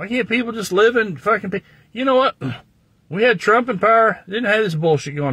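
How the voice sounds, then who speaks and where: This voice carries an American accent. Its tone is bright and sharp, and the intonation is lively. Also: man. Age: 60s. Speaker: livestreamer. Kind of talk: casual chat. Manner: animated.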